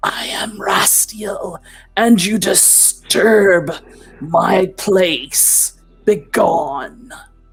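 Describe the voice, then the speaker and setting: In a put-on character voice, someone whispers at a very slow pace. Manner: warning, commanding.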